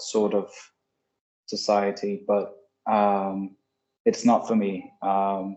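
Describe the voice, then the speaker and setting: This man speaks at a fairly low pitch. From Denmark, Copenhagen. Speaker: documentary filmmaker. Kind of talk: panel Q&A. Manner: halting.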